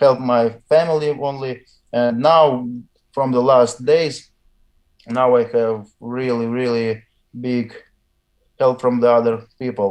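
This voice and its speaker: Pausing long and often, a man speaks at a very slow pace with a medium pitch and fairly even intonation. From Russia. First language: Russian. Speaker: weightlifter. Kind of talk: interview. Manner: halting.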